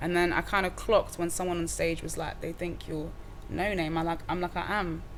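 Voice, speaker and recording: Audible room echo surrounds a woman speaking at a fairly quick pace. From Wales, Cardiff. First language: Welsh. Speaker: rapper. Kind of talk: casual interview chat. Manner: animated.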